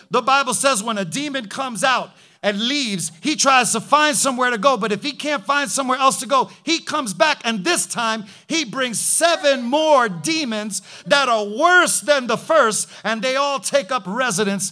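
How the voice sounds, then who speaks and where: With music in the background, a man in a raised, projected voice sounds animated, his extremely high pitch carrying lively intonation. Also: moderate pace. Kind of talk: sermon. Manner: vivid, punchy and rhythmic, with repeated short phrases.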